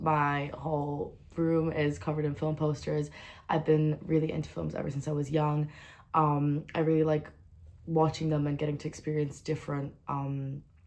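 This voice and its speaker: This woman speaks with a very deep, low pitch. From Luxembourg. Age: 20s. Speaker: university student. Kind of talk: self-presentation video. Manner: casual, many fillers.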